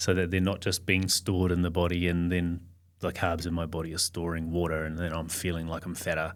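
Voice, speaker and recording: The speaker has an Australian accent and talks at a fairly quick pace. The intonation is monotone and flat, on a very clean recording with a silent background. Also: man, very deep, low pitch for a man. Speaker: podcast guest. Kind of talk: casual chat.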